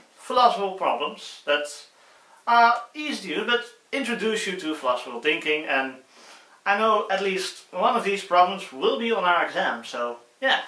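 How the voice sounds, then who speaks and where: A man with a Dutch accent speaks in a raised, projected voice at a high pitch. He keeps a moderate pace amid audible room echo. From Netherlands. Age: 20s. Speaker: student YouTuber. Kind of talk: casual tutorial. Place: home room. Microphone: phone near.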